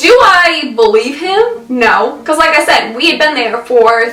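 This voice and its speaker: A woman with a high pitch speaks in a raised, projected voice at a fairly slow pace, her animated tone marked by very wide pitch swings. Noticeable background noise and audible room echo are present. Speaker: lifestyle vlogger. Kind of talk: casual monologue vlog.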